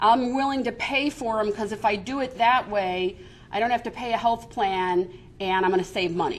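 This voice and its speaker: With an American accent, a woman talks at a moderate pace. She has a fairly high pitch and an ordinary speaking voice. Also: ordinary pitch variation. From Chicago, US Midwest. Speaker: business coalition executive. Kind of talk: seminar presentation.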